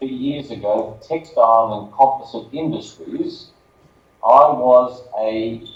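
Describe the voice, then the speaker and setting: Speaking very slowly with an Australian accent, a man at medium pitch is heard with audible room echo. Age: 60s. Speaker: business spokesperson. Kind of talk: conference presentation.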